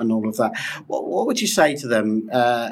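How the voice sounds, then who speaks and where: A man speaks with a British accent at a moderate pace. His pitch moves in an ordinary way. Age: 40s. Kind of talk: interview. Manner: halting.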